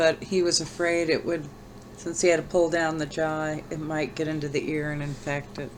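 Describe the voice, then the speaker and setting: A woman's very deep, low voice in monotone, flat intonation, with audible room echo. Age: old. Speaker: vlogger sharing brain tumor recovery. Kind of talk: personal vlog. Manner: slow; halting.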